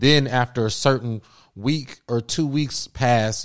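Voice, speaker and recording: In a very clean recording with a silent background, a man with a normal speaking voice talks at a medium pitch with ordinary pitch variation. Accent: American. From US Midwest (Cincinnati, Ohio). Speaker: podcast host, artist. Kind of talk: casual chat.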